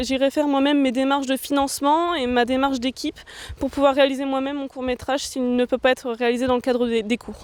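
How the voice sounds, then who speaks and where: Speaking at a fairly quick pace, a woman holds a high pitch with fairly even intonation. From northern France, Nord (Roncq near Lille). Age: 20s. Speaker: film student and director. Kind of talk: interview.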